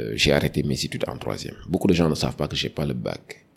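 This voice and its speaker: This man speaks with a very deep, low pitch. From Senegal, Dakar. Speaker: HSE manager and environmental activist. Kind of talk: podcast interview.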